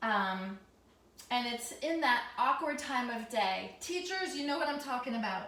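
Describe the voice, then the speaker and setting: Loud, with lively intonation and audible room echo, a woman speaks at high pitch. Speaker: teacher and lifestyle vlogger. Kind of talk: casual tutorial. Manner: loud, deliberately raised voice.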